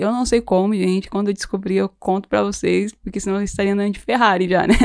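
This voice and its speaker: Speaking at a very fast pace with hardly any pauses, a woman keeps a fairly even intonation at a medium pitch, recorded very cleanly against a silent background. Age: 20s. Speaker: podcast host. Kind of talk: casual chat.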